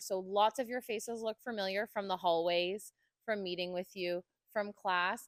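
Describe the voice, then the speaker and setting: Recorded with a dry, close sound and no echo, the voice moves at a moderate pace with ordinary pitch variation. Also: woman. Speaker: college instructor. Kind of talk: short address to audience. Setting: room with live audience. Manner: loud.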